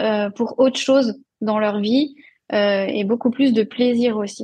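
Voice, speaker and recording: A woman's fairly high, monotone, flat voice at a very slow pace. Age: 30s. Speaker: nutrition and fitness coach, former speech therapist. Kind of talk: podcast interview.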